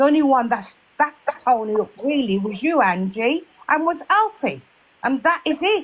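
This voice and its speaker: Loud and high-pitched, a woman speaks at a moderate pace with very wide pitch swings. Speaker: live chat room participant. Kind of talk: heated debate.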